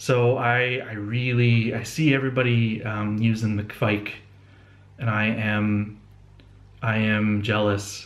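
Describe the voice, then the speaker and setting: Audible room echo surrounds a man who speaks at a medium pitch with fairly even intonation. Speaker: homebrewing video blogger. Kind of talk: casual video blog. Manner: halting, many fillers and restarts.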